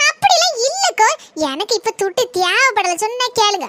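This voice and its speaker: A woman does a cartoonish character voice, squeaky and extremely high-pitched, with lively intonation at a fairly slow pace, in a dry, close sound with no echo. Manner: hesitant, pleading.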